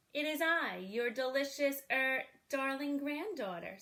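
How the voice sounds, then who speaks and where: High-pitched put-on character voice from a woman, moderate in pace. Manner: deceptive.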